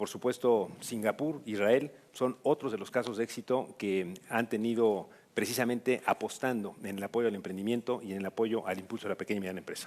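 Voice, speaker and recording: A plain, everyday voice from a man, medium in pitch with fairly even intonation. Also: fairly quick pace. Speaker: government official. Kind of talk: panel discussion. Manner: formal.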